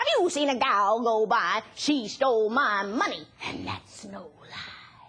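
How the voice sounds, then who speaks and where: A woman puts on a character voice with a fairly high pitch. She goes fairly slowly yet leaves hardly any pauses. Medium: stage play. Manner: sing-song rhyming.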